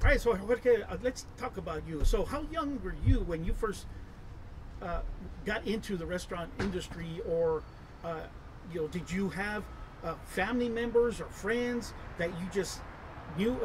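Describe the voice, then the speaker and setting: A man's high-pitched voice with lively intonation, a very slow pace and long, frequent pauses, over noticeable background noise. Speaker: internet show host. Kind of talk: casual interview. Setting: outdoors at a restaurant. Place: garden.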